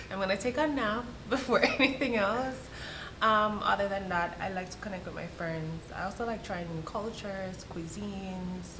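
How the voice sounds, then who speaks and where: Amid noticeable background noise and audible room echo, a woman with a Jamaican accent speaks at a medium pitch and moderate pace with ordinary pitch variation. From Jamaica, parish of Saint Thomas. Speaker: immigration consultant. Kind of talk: casual interview chat.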